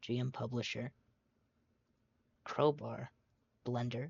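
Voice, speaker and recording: Quiet and somewhat breathy, a man speaks at a fairly slow pace. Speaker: tutorial maker. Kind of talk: tutorial. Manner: hesitant, many fillers.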